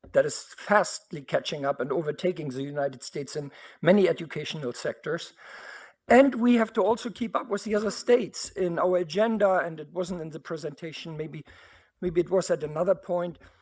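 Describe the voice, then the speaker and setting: A man with a German accent speaks at a high pitch with ordinary pitch variation. The recording is very clean with a silent background. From Germany. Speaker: university board trustee. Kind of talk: board meeting statement. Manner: animated.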